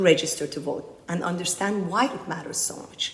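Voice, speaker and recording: In a Persian accent, a woman talks at a fairly quick pace and a medium pitch, with audible room echo. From Iran, emigrated to US at twelve. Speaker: political candidate, community activist. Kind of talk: conference speech.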